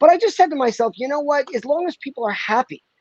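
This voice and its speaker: The recording of this man sounds dry and close, with no echo. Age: 60s. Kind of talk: casual chat. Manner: halting, many fillers.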